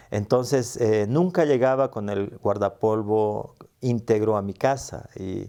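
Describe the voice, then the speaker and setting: Speaking very slowly, a man has a dark, mellow tone at a fairly low pitch with ordinary pitch variation. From Bolivia (La Paz), early childhood in Arica, Chile. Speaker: interviewee telling life story. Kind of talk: interview, personal life story. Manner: hesitant, many fillers.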